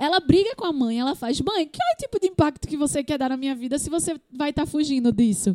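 With hardly any pauses, a woman races along at a very fast pace in a high pitch and lively intonation, her sound dry and close with no echo. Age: 20s. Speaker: podcast co-host. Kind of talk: casual chat.

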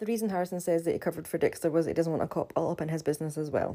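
A woman with a Scottish accent talks at a very fast pace in a dark, mellow tone with a fairly low pitch. The recording is very clean, with a silent background. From Scotland. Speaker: podcaster recapping a TV show. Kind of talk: solo podcast recap and commentary. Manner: casual, chatty, with filler words.

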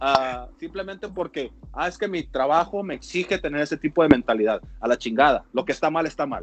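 A man speaks at a fairly quick pace with hardly any pauses, in a normal speaking voice. His pitch is fairly high and his intonation is lively. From Mexico, Mexicali (Baja California). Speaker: former professional baseball pitcher. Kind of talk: casual chat.

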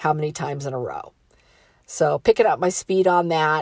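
In a very clean recording with a silent background, a woman speaks at a moderate pace. Hers is an unremarkable speaking voice, fairly low in pitch, with ordinary pitch variation. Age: 50s. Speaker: motivational podcaster. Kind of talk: motivational monologue. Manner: casual, conversational.

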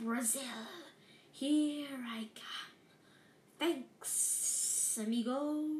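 A woman puts on a character voice at a high pitch, with audible hissing. She speaks at a very slow pace.

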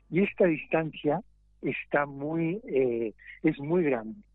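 Very slow in pace, a man with a fairly high pitch speaks with lively intonation. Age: 50s. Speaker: mime and theatre performer. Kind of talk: interview.

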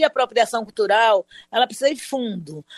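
In a normal speaking voice, a woman speaks at a fairly slow pace with lively intonation and a fairly high pitch, against a quiet background in a dry, close sound with no echo. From Brazil, Salvador (Bahia). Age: 60s. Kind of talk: interview.

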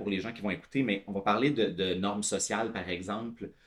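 A man with a Quebec accent. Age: 30s. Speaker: tech product director. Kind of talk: casual interview.

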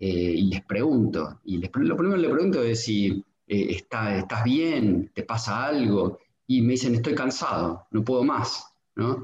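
Somewhat breathy, a man with a Rioplatense accent talks at a fairly slow pace and medium pitch with lively intonation. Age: 50s. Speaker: pediatric sports physician. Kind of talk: casual interview chat.

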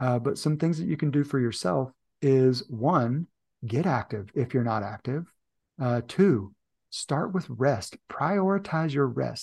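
An unremarkable speaking voice carries lively intonation. The background is quiet. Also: man. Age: 40s. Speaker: leadership and performance coach. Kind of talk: casual chat.

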